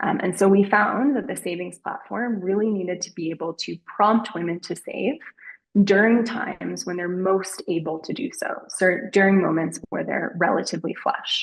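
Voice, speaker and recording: This woman has a normal speaking voice, medium in pitch with ordinary pitch variation, delivered at a moderate pace. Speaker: behavioral research presenter. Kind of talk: webinar presentation.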